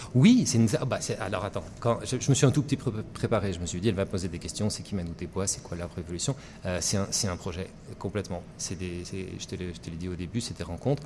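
A man's very deep, low voice, somewhat breathy and dark and mellow in tone, at a fairly quick pace with lively intonation. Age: middle-aged. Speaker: singer-songwriter. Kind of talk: radio interview. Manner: animated.

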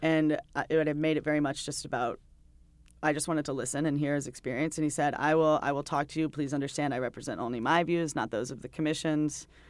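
The speaker has an American accent, recorded very cleanly against a silent background. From North Carolina. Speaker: journalist. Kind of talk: interview. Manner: hesitant, many fillers.

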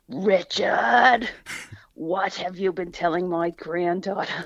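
Using a put-on character voice, a female-sounding speaker talks with a raspy sound at a medium pitch and a fairly slow pace. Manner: stern, scolding.

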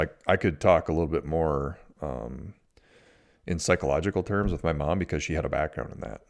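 A man with an Upper Midwest accent, very deep, low pitch, vocal fry, ordinary pitch variation and a fairly quick pace. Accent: Upper Midwest American. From US Midwest, Minnesota. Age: 40s. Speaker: podcast host. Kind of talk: advice monologue. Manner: casual, many fillers.

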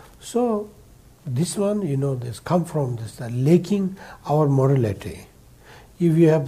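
Somewhat breathy and dark and mellow in tone, a man's voice moves at a moderate pace. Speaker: Buddhist teacher and school founder. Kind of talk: public Dharma talk with Q&A. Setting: live event with audience. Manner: halting, simple English.

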